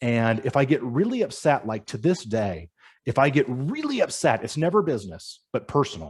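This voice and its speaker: A man with an American accent uses vocal fry and very wide pitch swings. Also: medium pitch for a man. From Northern California. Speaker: youth career coach. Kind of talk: webinar talk. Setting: live online webinar. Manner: stutters when upset.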